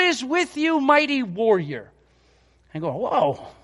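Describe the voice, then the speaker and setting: Loud and extremely high-pitched, a man speaks against a quiet background. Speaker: pastor. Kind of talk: sermon. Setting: church.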